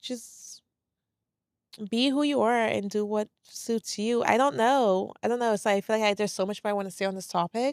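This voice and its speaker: Someone with a New York accent speaks at a moderate pace with ordinary pitch variation. The recording is very clean and dry, close-miked with no echo and a silent background. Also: woman. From New York, moved from St. Lucia at 10. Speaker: podcast host. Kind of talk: solo podcast monologue. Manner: calm, quiet.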